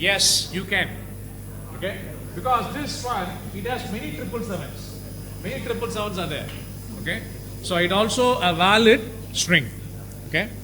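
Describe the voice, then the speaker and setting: A man's speech with long, frequent pauses, audible room echo and noticeable background noise. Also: moderate pace. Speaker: university lecturer. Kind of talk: lecture. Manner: loud; halting.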